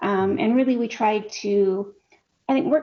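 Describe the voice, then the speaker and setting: With a Canadian accent, a woman speaks at a fairly high pitch. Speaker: peace researcher. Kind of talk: interview. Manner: fast.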